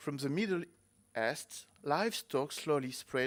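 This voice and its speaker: This man talks at a very slow pace, his fairly high voice showing ordinary pitch variation. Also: very clean recording, silent background. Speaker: museum federation representative. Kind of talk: conference presentation. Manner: halting.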